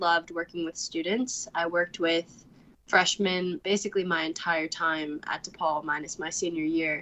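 A woman talks in a normal speaking voice at a moderate pace. Her intonation stays fairly even. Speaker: recent college graduate. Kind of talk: interview.

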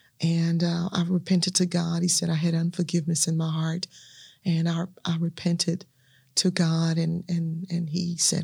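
A woman's somewhat breathy voice with a dark, mellow tone and monotone, flat intonation. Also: very clean recording, silent background. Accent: Southern US. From US South, Natchez, Mississippi. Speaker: minister and evangelist. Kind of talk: testimony.

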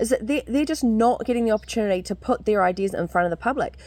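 The recording is very clean, with a silent background. The speaker, in a New Zealand accent, uses very wide pitch swings. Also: woman. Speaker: podcast co-host. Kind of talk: interview.

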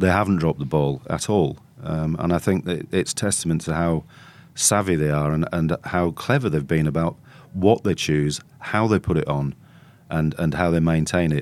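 With a Yorkshire accent, a man speaks at a very deep, low pitch, his loudness very even and his pitch variation ordinary. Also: moderate pace, very clean recording, silent background. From northern England (North Yorkshire). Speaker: journalist/commentator. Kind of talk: casual chat.

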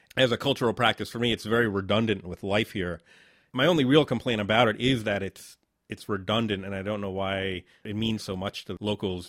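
In a plain, everyday voice, a man with an American accent talks fairly quickly at a fairly low pitch with ordinary pitch variation. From Southern Connecticut, New Haven. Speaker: podcast host, filmmaker. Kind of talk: casual interview.

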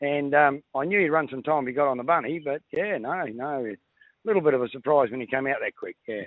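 Speaking very fast with an Australian accent, a man uses a fairly high pitch. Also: ordinary pitch variation. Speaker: greyhound trainer. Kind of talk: casual chat.

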